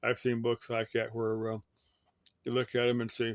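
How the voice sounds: With an American accent, a man speaks at a medium pitch and a moderate pace in a monotone, flat intonation.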